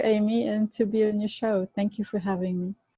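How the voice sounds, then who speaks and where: A woman's somewhat breathy voice with a dark, mellow tone at a moderate pace, in a dry, close sound with no echo. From Bulgaria. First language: Bulgarian. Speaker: Ayurvedic nutrition educator and chef. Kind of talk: interview. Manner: halting.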